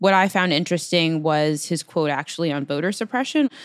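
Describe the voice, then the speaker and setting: A woman's unremarkable speaking voice, fairly low in pitch and fairly quick, with ordinary pitch variation and a dry, close sound with no echo. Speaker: politics reporter. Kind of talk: casual chat. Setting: video call.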